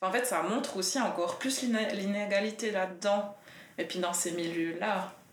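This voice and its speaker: A woman's medium-pitched voice with ordinary pitch variation, a moderate pace and very even loudness, plus noticeable background noise and audible room echo. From Biel/Bienne, Switzerland. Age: 20s. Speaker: nurse and feminist activist. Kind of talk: casual discussion. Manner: hesitant, many fillers.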